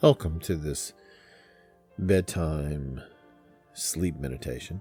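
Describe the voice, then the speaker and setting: Over music in the background, a man with a very deep, low pitch speaks at a very slow pace. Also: ordinary pitch variation. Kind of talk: sleep story, guided meditation narration. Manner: gentle, calming, softly spoken.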